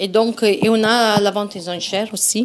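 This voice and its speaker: At a fairly slow pace, a woman speaks with an Italian accent. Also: very clean recording, silent background. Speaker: event organizer. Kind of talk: casual chat. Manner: hesitant.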